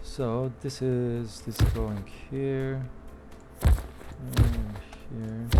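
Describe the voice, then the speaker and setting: Music plays in the background as the speaker moves at a very slow pace, with long, frequent pauses. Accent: non-native. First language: not English. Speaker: gaming tutorial creator. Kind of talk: tutorial. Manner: casual, halting.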